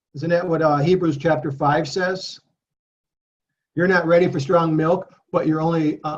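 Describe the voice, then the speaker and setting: With a normal speaking voice, a man speaks at a moderate pace in a fairly high pitch and fairly even intonation. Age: 60s. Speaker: Bible study teacher. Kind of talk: Bible study talk.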